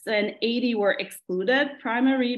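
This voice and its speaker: A woman with a Quebec accent and lively intonation. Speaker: geriatric medicine fellow. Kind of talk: academic presentation. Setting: video call. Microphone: video call.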